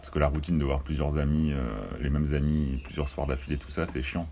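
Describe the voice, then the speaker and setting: A man's very deep, low voice over noticeable background noise. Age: 30s. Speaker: cinema manager. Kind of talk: casual chat.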